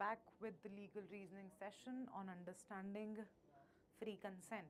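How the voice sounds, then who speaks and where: With an Indian accent, a woman speaks at a moderate pace and medium pitch, her intonation fairly even. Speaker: law entrance exam teacher. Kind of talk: live online class. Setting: live stream class.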